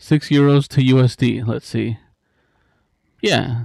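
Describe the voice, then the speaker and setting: A man's medium-pitched voice with a Spanish accent, dry and close with no echo. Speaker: music live streamer. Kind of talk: casual live stream chat. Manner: casual, filler-heavy.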